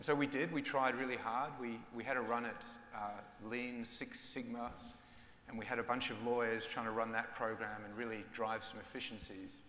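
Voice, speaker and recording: Speaking at a moderate pace, a man delivers his words in a flat monotone amid audible room echo and light background noise. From Austria. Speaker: bank general counsel. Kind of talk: conference panel discussion. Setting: stage with live audience. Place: stage. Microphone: lapel.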